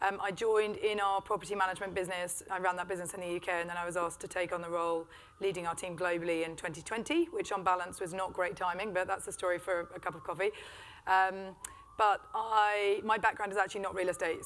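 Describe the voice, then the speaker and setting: A woman with a British accent, very fast and monotone, her intonation flat. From Britain. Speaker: business executive. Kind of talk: panel discussion.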